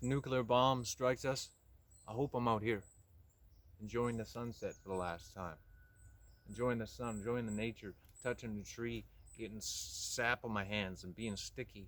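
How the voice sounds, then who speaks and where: Fairly even intonation at a moderate pace, broken by long, frequent pauses. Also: man. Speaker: vlogger. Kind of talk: casual solo monologue while hiking. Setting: outdoors in the woods. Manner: monotone.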